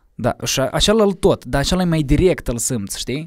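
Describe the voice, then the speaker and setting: Against a quiet background, a man talks at a moderate pace with very wide pitch swings in a dry sound with no echo. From Moldova, Cahul; Moldova. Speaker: musician; podcast guest. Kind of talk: casual interview. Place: studio. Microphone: studio mic.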